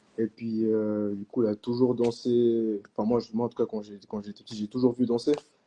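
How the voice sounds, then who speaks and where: Dry and close with no echo, a man's voice holds a monotone, flat intonation at a medium pitch and moderate pace. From Switzerland, Vevey (French-speaking). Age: 20s. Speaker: hip-hop dancer. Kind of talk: casual interview. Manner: hesitant, many fillers.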